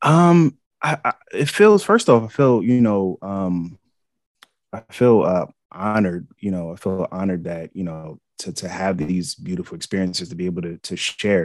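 A fairly low male voice with an American accent, moderate pace and ordinary pitch variation, dry and close with no echo. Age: 30s. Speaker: psychedelics podcast host. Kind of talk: casual chat. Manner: halting, many fillers.

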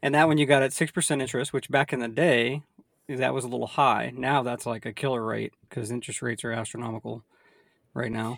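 A man with an American accent at medium pitch, very fast, with vocal fry and fairly even intonation. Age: 30s. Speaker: podcast host, real estate investor. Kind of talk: casual chat.

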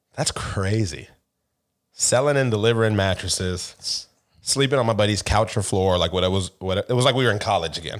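On a very clean recording with a silent background, a man with an American accent talks fairly quickly in a fairly low pitch, a plain, everyday voice with ordinary pitch variation. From Seattle area, US. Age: 30s. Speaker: podcast co-host. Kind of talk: casual chat.

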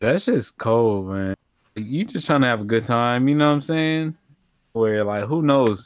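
On a very clean recording with a silent background, a man speaks in a plain, everyday voice at medium pitch, with ordinary pitch variation and a moderate pace. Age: 20s. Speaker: podcast co-host. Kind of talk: casual chat.

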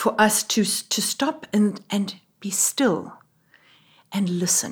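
A somewhat breathy, fairly high woman's voice with a South African accent and ordinary pitch variation. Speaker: Anglican priest and doctoral student. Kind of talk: interview, conversational.

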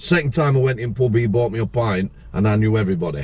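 Here is a man with a Yorkshire accent and a medium pitch. His voice is somewhat breathy, at a moderate pace. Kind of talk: casual chat. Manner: animated.

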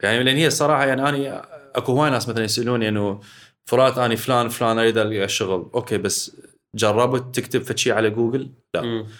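In an ordinary speaking voice, a man talks at a fairly quick pace and medium pitch with fairly even intonation. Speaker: businessman, company executive. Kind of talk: casual interview chat.

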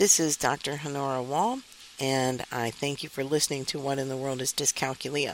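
Through noticeable background noise, a woman with a very deep, low voice speaks at a moderate pace with fairly even intonation. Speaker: podcast host and dyscalculia educator. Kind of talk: educational podcast monologue. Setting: recording on a university campus while at a conference.

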